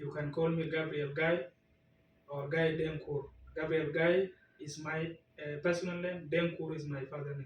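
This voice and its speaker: A man with a fairly high pitch speaks at a moderate pace, monotone and with flat intonation, leaving long, frequent pauses. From South Sudan. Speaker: language test candidate. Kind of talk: speaking exam interview. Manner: halting.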